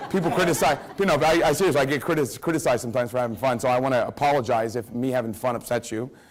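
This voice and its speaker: A man talks at a very fast pace in an American accent, his tone animated. Noticeable background noise runs behind him. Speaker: network marketing trainer. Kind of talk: motivational training talk. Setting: stage with audience.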